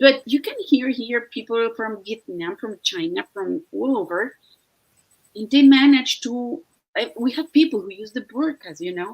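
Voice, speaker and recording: A woman with a high pitch and a Mexican accent speaks at a fairly slow pace. Her intonation is lively, and her loudness swings widely. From Mexico. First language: Spanish. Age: 50s. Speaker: online entrepreneur and veterinarian. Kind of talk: casual live-stream conversation. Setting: live video stream. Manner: halting, frequent fillers.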